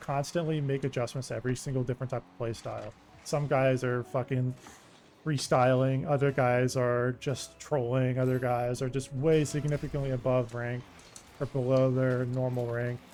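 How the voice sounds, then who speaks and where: With noticeable background noise behind him, a man speaks at a medium pitch with big swings in loudness. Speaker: gaming YouTuber. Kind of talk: gameplay commentary. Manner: soft; casual, halting with fillers.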